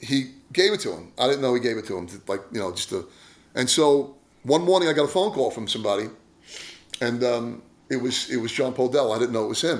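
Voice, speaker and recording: A man with a plain, everyday voice speaks fairly quickly at a medium pitch. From New York, Brooklyn / Long Island. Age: 60s. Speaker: blues slide guitarist. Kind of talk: casual interview chat.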